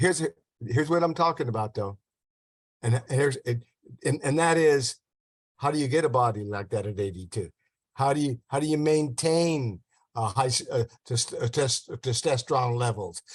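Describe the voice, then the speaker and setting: A man's medium-pitched, somewhat breathy voice with lively intonation, a moderate pace, long, frequent pauses, and a dry, close sound with no echo. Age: 80s+. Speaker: diet and health promoter. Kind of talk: casual interview chat. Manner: halting, repetitive.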